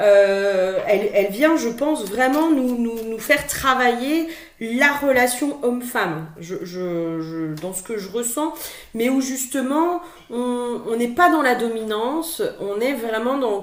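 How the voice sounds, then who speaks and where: Amid noticeable background noise and audible room echo, a woman with a high pitch speaks at a fairly slow pace, her intonation lively and her loudness swinging widely. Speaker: spiritual guidance card reader. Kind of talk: tarot guidance monologue. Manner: hesitant, many filler words and repetitions.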